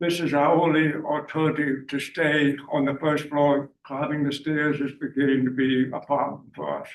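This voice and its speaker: The voice carries a Charleston Lowcountry accent at a moderate pace. Its intonation is monotone and flat. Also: man. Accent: Charleston Lowcountry Southern. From US South, Charleston, South Carolina. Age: 80s+. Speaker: homeowner applicant. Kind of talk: public hearing testimony. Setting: public meeting room.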